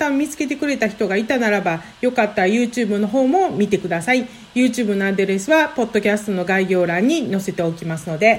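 Over noticeable background noise, a woman with a fairly high pitch talks at a fairly quick pace with lively intonation. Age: 40s. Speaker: healer and podcaster. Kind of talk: solo podcast monologue. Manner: fast when flustered.

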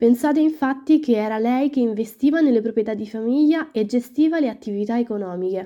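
A woman talks at a fairly quick pace in a high pitch with ordinary pitch variation. Her tone is dark and mellow, and the background is quiet. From Rome, Italy. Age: 20s. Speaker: student podcast host. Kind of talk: storytelling to listeners.

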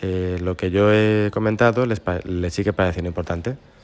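Music plays behind a man whose speech moves at a moderate speed. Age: 40s. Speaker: former schoolmate. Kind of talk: recorded personal reminiscence.

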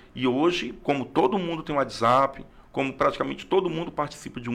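A man talks at a moderate pace in a plain, everyday voice. His pitch is fairly high, and his intonation is lively. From Brazil, Acre (Rio Branco). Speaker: history teacher and school principal. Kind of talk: interview conversation.

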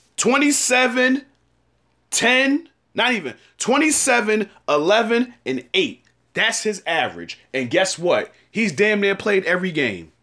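A man's raised, projected voice, high in pitch, animated and bright and sharp in tone, with very wide pitch swings at a fairly slow pace. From New York. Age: 30s. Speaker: sports podcast host. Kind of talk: solo sports commentary podcast.

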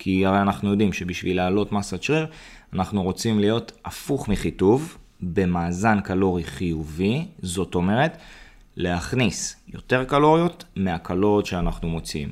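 Heard on a very clean recording with a silent background, a man with a normal speaking voice talks fairly slowly at a fairly low pitch. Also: lively intonation. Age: 30s. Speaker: fitness coach. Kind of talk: podcast monologue tutorial.

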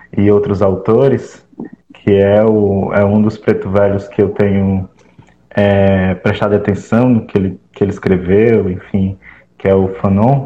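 A man's fairly low, monotone voice at a fairly slow pace, with flat intonation and very even loudness. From Fortaleza periphery, Ceará, Brazil. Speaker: graduate student and activist. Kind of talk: discussion panel.

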